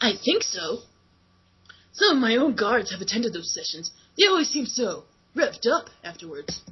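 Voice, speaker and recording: Using a put-on character voice, a man drawls at a moderate pace with long, frequent pauses, his extremely high pitch swinging very widely. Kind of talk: comic fanfic reading. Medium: read story. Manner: cartoon skateboarder-dude drawl.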